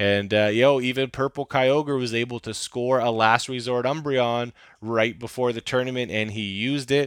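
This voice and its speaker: With an unremarkable speaking voice, a man talks at a moderate pace and medium pitch, with fairly even intonation and hardly any pauses. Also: dry, close sound with no echo. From Canada. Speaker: podcast host. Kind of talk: casual chat.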